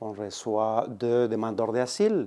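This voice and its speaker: Against a quiet background, a man talks at a very slow pace with a slight Spanish accent. His voice has a medium pitch and a dark, mellow tone. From Colombia. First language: Spanish (speaking French). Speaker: immigrant integration worker. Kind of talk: interview.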